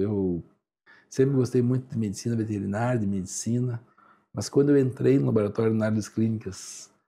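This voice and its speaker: Dark and mellow in tone, a man's voice sits at a medium pitch. He keeps a moderate pace with ordinary pitch variation. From Santa Catarina, Brazil (Joaçaba). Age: 60s. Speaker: lab director, clinical analyst. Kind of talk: radio interview. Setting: radio studio.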